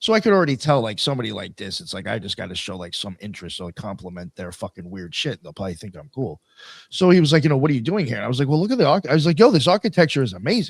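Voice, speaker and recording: Talking at a very fast pace with an American accent, a man at medium pitch shows very wide pitch swings, vocal fry and big swings in loudness. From New York, Long Island (Suffolk County). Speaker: podcast host. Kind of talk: casual chat. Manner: animated.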